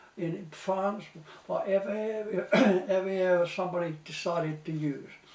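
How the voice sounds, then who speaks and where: Noticeable background noise sits behind a man speaking at a moderate pace. His pitch is high and his intonation fairly even. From Portsmouth, England. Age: 80s+. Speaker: war veteran. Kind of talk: interview answer.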